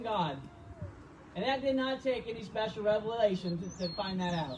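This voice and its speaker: Speaking at a moderate pace with lively intonation, a man with a high voice is heard over noticeable background noise. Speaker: pastor. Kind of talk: sermon preached to a congregation. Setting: drive-in church service.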